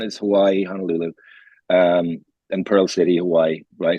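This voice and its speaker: A man with an Irish accent talks at a moderate pace, his voice dry and close with no echo. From Ireland. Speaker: podcast co-host. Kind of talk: casual chat.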